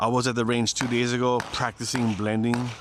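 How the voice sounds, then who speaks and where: The speaker's tone is animated. Noticeable background noise runs underneath. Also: man. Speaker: sport shooter and video creator. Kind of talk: casual vlog talk to camera. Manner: casual, animated.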